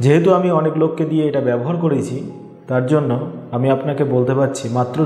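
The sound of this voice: Faint background noise sits behind a man who talks at a fairly quick pace with medium pitch, a dark, mellow tone and ordinary pitch variation.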